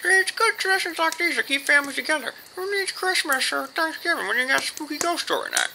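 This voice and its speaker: A put-on character voice races along at a very fast pace with an extremely high pitch and hardly any pauses. Clear background noise sits behind it. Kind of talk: comedy sketch dialogue. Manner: gruff, insulting.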